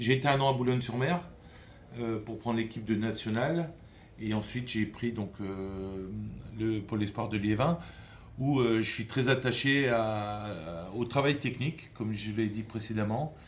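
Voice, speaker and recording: Audible room echo surrounds a man speaking at a medium pitch and a fairly slow pace, with ordinary pitch variation. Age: 60s. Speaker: football academy director, former pro player. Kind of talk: interview. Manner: halting, many hesitations.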